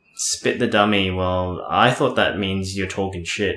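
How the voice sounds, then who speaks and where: A man with a fairly low pitch talks at a moderate pace in a bright, sharp tone. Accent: Australian. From Australia. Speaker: podcast co-host. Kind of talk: casual chat.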